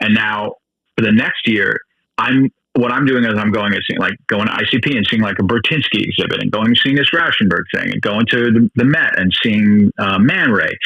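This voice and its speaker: A man with a normal speaking voice at medium pitch, ordinary pitch variation and a fairly quick pace. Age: 60s. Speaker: street photographer, podcast co-host. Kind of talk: casual podcast conversation.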